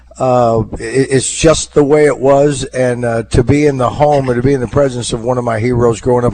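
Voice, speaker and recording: Noticeable background noise runs behind speech delivered at a fairly quick pace. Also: man. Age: 60s. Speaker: radio host. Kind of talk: casual chat. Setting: live remote broadcast from a home. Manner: halting, many fillers.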